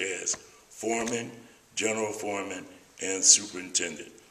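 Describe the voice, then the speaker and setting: Monotone, flat delivery at a moderate pace over noticeable background noise. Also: man. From US West Coast, Berkeley, California. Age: 60s. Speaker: retired electrician and mental health speaker. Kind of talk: personal testimony.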